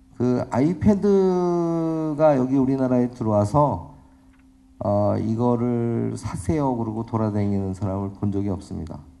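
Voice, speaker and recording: Audible room echo surrounds a man speaking at a fairly slow pace. His pitch sits in the medium range with very wide swings. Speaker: professor. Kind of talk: lecture. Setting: conference stage with audience.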